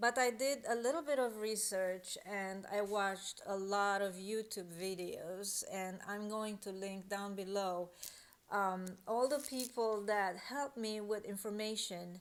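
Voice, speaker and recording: A woman with a non-native accent speaks at a fairly slow pace. Her pitch is medium with ordinary variation. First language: not English. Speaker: online reseller and tutorial creator. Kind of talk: tutorial. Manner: hesitant, with fillers.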